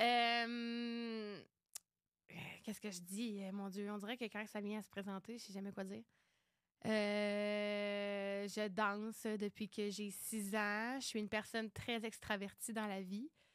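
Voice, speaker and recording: A woman at a very slow pace, medium in pitch, in a monotone, flat intonation. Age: 20s. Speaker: podcast co-host, dancer. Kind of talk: casual chat.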